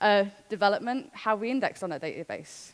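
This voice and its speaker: A woman speaks with ordinary pitch variation. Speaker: conference speaker. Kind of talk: conference talk. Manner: fast.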